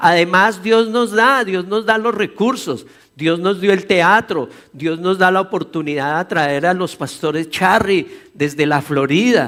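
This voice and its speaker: Very slowly, a man with a high voice speaks with ordinary pitch variation. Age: 60s. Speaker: pastor. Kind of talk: sermon.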